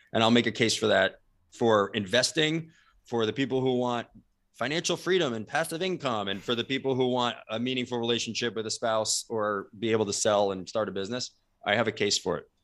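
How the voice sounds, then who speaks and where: A man with an American accent speaks at a fairly quick pace in a plain, everyday voice, medium in pitch with ordinary pitch variation. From New Jersey, US. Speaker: leadership company co-founder. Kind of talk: interview. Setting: video call.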